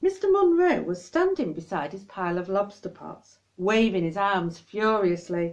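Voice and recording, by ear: A woman at medium pitch, slightly mellow in tone, with lively intonation and a moderate pace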